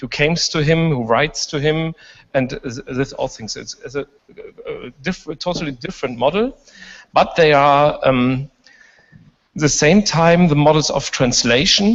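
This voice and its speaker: Moderate-paced speech with a German accent, long and frequent pauses, and ordinary pitch variation. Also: man, fairly high pitch for a man. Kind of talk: panel discussion. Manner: halting.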